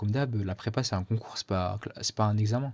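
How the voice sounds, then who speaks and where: A man speaks in a dark, mellow tone, somewhat breathy. The background is quiet. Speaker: student vlogger. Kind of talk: casual vlog. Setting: speaking to camera. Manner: hesitant, many fillers.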